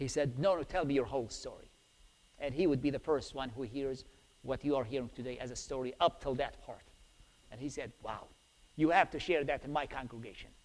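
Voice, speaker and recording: A man with an Iraqi accent speaks fairly quickly at a fairly high pitch. His loudness swings widely, while his pitch varies in an ordinary way. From Iraq, Baghdad. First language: Arabic. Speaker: preacher. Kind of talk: testimony. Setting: church.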